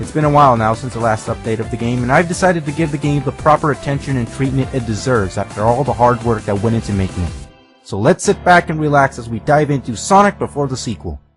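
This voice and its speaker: Music plays in the background as a man talks at a very fast pace. His pitch is medium and his intonation lively. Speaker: video game reviewer. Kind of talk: game review voice-over.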